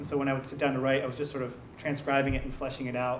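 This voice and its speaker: Over noticeable background noise and audible room echo, a man with an American accent speaks in a monotone, flat intonation. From US, came from Germany as a young child. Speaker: writer. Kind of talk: Q&A at author reading.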